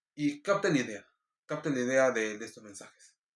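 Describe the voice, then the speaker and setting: This is a man at medium pitch. His intonation is lively. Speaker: preacher. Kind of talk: casual explanation; devotional sermon. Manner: drops syllables when speaking fast; hesitant fillers.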